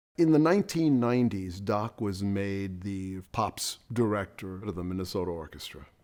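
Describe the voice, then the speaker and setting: This man has a normal speaking voice, fairly low in pitch, with lively intonation. He goes at a moderate pace with hardly any pauses. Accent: American. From New York City, East Harlem. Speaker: orchestral trumpet player. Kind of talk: documentary interview.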